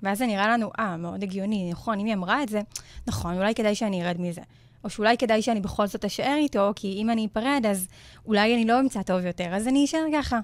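Her voice fairly high with ordinary pitch variation, a woman speaks at a very fast pace in a very clean recording with a silent background. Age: 20s. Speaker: self-confidence coach. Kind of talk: interview conversation on radio show.

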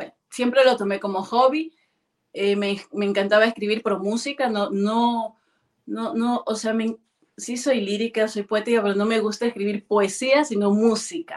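The woman's pitch is fairly high, and her intonation stays fairly even. She talks at a fairly slow pace. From Ecuador, Guayaquil. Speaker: singer. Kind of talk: interview. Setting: video call. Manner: halting.

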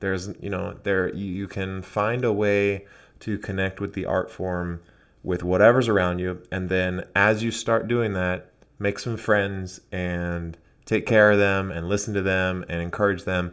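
In a very clean recording with a silent background, a man with a plain, everyday voice speaks fairly slowly at a fairly low pitch with fairly even intonation. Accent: American. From United States. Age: 20s. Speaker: calligraphy teacher. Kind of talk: casual chat.

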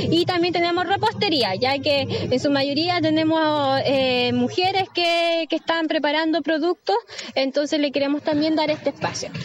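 Moderate pace, very even loudness and ordinary pitch variation over noticeable background noise. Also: woman, high pitch for a woman. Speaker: neighbourhood delegate. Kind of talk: live interview.

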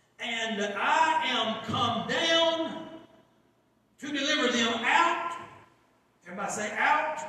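A man's raised, projected voice at an extremely high pitch, at a very slow pace with long, frequent pauses and ordinary pitch variation. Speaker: guest preacher. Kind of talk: sermon. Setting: church with congregation. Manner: call-and-response, urging the crowd to shout back; fervent, exhorting.

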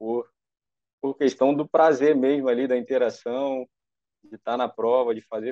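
The man's voice sits at a medium pitch, delivered with monotone, flat intonation. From Brazil, Rio de Janeiro area (Nova Iguaçu). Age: young. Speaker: triathlete. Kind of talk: personal testimony.

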